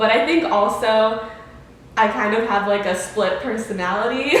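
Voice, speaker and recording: Amid noticeable background noise and audible room echo, a woman with a fairly high voice speaks at a moderate pace with ordinary pitch variation. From born in Mexico, raised in Tucson, Arizona. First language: Spanish. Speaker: dancer and dance teacher. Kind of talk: interview. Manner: hesitant, many fillers.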